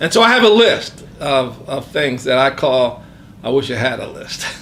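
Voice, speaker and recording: Noticeable background noise runs under a man's voice. He talks at a fairly slow pace with a fairly high pitch. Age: 60s. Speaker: retiring professional sharing life insights. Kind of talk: interview, reflective testimony. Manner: hesitant, many filler words.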